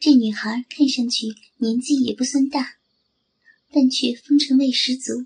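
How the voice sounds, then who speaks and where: A woman's high-pitched voice at a fairly slow pace, broken by long, frequent pauses. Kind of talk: scripted dramatic narration with character voices, ASMR-style story reading.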